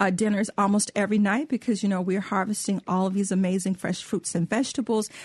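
Speaking very fast with an American accent, a woman uses a medium pitch, a somewhat breathy voice and fairly even intonation, recorded dry and close with no echo. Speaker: cookbook author and co-host. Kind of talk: radio talk show.

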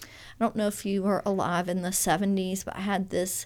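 Recorded very cleanly against a silent background, a woman talks at a moderate pace with a Southern US accent. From Louisiana, Baton Rouge area. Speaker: fiber artist. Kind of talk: interview. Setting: studio.

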